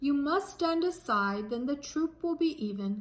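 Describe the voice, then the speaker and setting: A woman puts on a character voice with a high pitch. She keeps a moderate pace. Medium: read story. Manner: regretful, firm.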